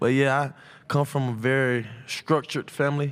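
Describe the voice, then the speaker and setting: The speaker talks with fairly even intonation in an American accent. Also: man. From Atlanta, Georgia (Westlake). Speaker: college football player. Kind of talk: press conference interview. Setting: media day press room. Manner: loud.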